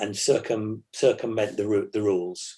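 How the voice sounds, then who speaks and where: A man speaks in a normal speaking voice at a moderate pace, with fairly even intonation. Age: 60s. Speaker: classic car club president and rally driver. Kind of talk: interview chat.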